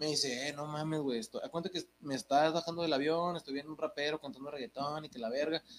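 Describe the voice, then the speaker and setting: Talking at a very fast pace with hardly any pauses, a man with a fairly high pitch keeps fairly even intonation over noticeable background noise. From Mexico, Santa Catarina, Nuevo León. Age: 20s. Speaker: rapper. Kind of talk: casual chat.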